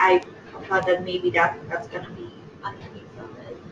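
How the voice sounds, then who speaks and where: A woman speaks over noticeable background noise. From Iran. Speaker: workshop participant. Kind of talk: class discussion. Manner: hesitant, many fillers.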